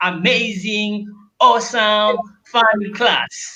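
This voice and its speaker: Audible room echo surrounds a man's raised, projected voice with a bright, sharp tone. He speaks at a very slow pace with ordinary pitch variation. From Tanzania. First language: Luguru and Swahili. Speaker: language teacher. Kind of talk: short language lesson.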